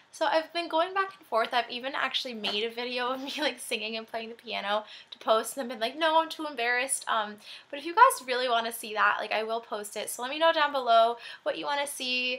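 Her voice high, a woman talks very fast with ordinary pitch variation and big swings in loudness. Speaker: fashion vlogger. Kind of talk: casual vlog chat. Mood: cheerful, giggly. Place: home room. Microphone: webcam.

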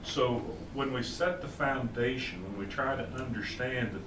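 A man is speaking. Noticeable background noise runs underneath. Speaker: Bible class teacher. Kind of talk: lecture. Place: church. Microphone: camera far.

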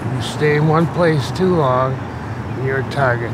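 Over loud background noise, a man speaks at a fairly slow pace with ordinary pitch variation and a dry sound with no echo. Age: 60s. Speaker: homeless man. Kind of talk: interview answer. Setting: outdoors. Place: street.

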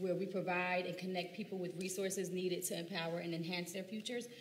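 A woman with an American accent at a medium pitch and a very fast pace, with audible room echo and light background noise. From US Northeast. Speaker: teacher and council candidate. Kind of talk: candidate forum speech. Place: hall.

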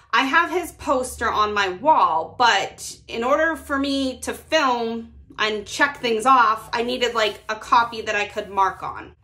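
A woman talks at a fairly slow pace. Her intonation is lively. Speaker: budgeting creator. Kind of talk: casual vlog chat. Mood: upbeat, friendly. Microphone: phone near.

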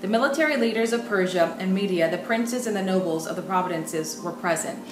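Ordinary pitch variation over clear music in the background. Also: woman. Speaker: bible teacher. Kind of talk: sermon. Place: home room.

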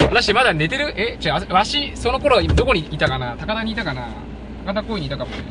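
Over loud background noise, a man talks at a fairly quick pace, and the sound is dry with no echo. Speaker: live streamer. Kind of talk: live outdoor stream, casual commentary. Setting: outdoors. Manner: chatty, animated. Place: open country. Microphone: phone near.

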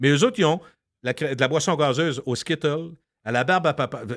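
The voice carries lively intonation in a Quebec accent. The recording is very clean, with a silent background. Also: man. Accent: Québécois French. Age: 60s. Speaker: radio host and podcaster. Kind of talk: casual chat.

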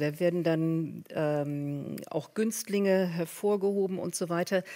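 A woman talks very slowly at a fairly low pitch. Her pitch varies in an ordinary way. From Berlin, Germany. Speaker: professor. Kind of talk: panel discussion. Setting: stage with audience.

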